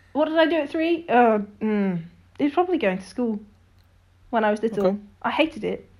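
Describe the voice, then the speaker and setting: Fairly high-pitched, a woman talks at a fairly quick pace with very wide pitch swings and long, frequent pauses. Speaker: missionary. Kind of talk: casual interview chat.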